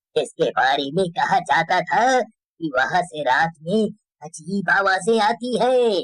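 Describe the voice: A man puts on a cartoonish character voice, high-pitched and delivered at a fairly slow pace.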